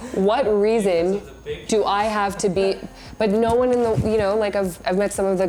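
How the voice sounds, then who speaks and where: A woman with a medium-pitched voice and fairly even intonation talks over noticeable background noise. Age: 20s. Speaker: social media influencer. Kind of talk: interview. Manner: casual, filler-heavy.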